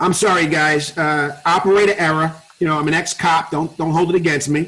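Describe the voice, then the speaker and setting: A man with a New York accent, at a fairly quick pace, in monotone, flat intonation. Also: fairly high pitch for a man. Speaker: network marketing presenter. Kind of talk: webinar sales presentation. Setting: online webinar call. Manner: fast.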